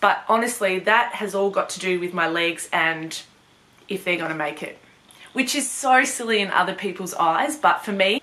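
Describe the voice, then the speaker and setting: A woman at medium pitch speaks with lively intonation at a moderate pace over noticeable background noise. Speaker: vlogger with MS. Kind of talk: casual vlog.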